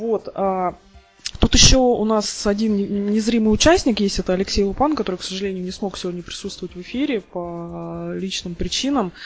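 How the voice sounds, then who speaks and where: A woman talks at a medium pitch, her loudness swinging widely. Music plays in the background. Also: ordinary pitch variation, moderate pace. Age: 30s. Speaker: podcast host, software tester. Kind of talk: casual chat.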